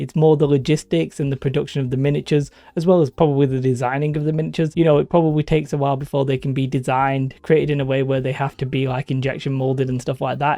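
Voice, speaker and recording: Against a quiet background, a man with a fairly high pitch and a dark, mellow tone speaks at a very fast pace with hardly any pauses and fairly even intonation. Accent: northern English. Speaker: gaming YouTuber. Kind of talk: casual commentary video.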